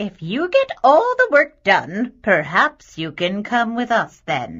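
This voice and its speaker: Fairly slow and fairly high-pitched, in a put-on character voice. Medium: read story. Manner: cold, scornful.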